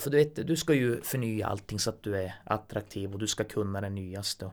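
With lively intonation and a fairly quick pace, this man is heard on a very clean recording against a silent background. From northern Sweden, Kiruna. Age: 40s. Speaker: blind musician and mechanic. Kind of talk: casual chat.

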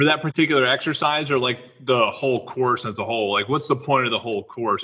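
Very fast speech from a man at a medium pitch, with ordinary pitch variation. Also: hardly any pauses. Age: 30s. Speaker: podcast host. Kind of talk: casual interview.

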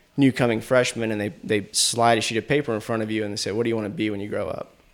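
A man with an American accent speaks in a normal speaking voice. His pitch is fairly low and his intonation fairly even. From Asheville, North Carolina. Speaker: filmmaker. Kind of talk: casual interview chat.

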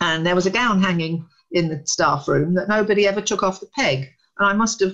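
The speaker has a British accent and ordinary pitch variation. The pace is moderate. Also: woman. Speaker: academic researcher. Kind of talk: interview. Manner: animated.

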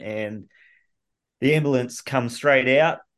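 Against a quiet background, a man with an Australian accent talks at a fairly slow pace with fairly even intonation. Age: 30s. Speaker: patient with rare illness. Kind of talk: interview.

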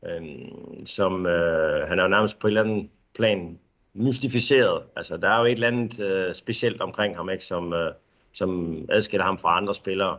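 Against a quiet background, a man with a fairly low pitch talks at a fairly slow pace with ordinary pitch variation. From Denmark. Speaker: football coach. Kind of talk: interview. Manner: halting, many filler sounds.

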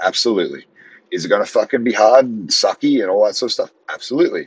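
Very fast speech from a man with an Australian accent. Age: 30s. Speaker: podcast host, strength coach. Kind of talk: motivational monologue. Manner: casual, conversational.

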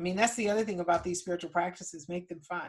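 A normal speaking voice from a woman, at medium pitch with fairly even intonation. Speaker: ancestral healing teacher. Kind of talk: workshop with live Q&A and guided process. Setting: video call workshop.

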